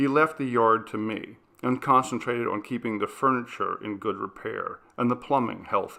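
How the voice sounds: Someone reads in a natural reading voice.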